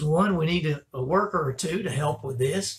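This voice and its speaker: A man talks at a moderate pace. His voice is somewhat breathy, with ordinary pitch variation. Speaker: pastor. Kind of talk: church announcements. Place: office. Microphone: webcam.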